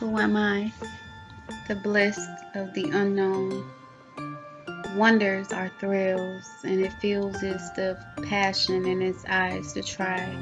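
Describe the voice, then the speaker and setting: A woman at a very slow pace, with long, frequent pauses and music in the background. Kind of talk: spoken word poetry reading.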